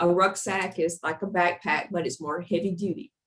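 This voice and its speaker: A woman with a plain, everyday voice speaks at a moderate pace, her fairly low pitch carried in fairly even intonation. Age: 60s. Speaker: physician. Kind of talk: webinar presentation. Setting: online webinar.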